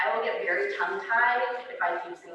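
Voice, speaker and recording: Over noticeable background noise and audible room echo, a woman speaks at a fairly quick pace. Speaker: school district administrator. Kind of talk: presentation. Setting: board meeting with audience. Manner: loud.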